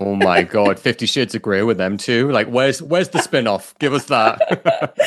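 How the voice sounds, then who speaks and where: Speaking at a moderate pace with a British accent, a man uses lively intonation and an animated tone at a medium pitch. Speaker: podcast co-host. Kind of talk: casual chat.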